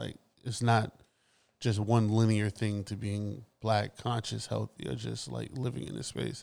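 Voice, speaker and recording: A man speaks at a fairly slow pace. His voice is fairly low, with ordinary pitch variation. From US Northeast, Brooklyn, New York. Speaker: podcast co-host, photographer. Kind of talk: casual chat.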